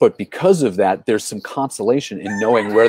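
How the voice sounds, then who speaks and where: The voice moves at a fairly quick pace with ordinary pitch variation. The sound is dry with no echo, and the background is quiet. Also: man. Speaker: live show host. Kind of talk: casual interview. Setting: live stream from a porch. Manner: animated. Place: home room. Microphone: earbuds.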